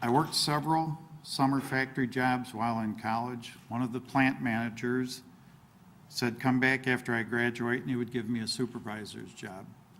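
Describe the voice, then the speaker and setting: Over noticeable background noise, a man speaks at a medium pitch and moderate pace with fairly even intonation. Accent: Midwestern American. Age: 60s. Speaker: local politician, village president candidate. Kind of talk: candidate forum opening statement.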